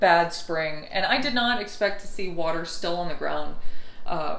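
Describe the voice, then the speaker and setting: At a moderate pace, a woman talks while audible room echo hangs around her words. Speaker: travel vlogger. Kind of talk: casual vlog chat. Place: home room. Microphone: camera far.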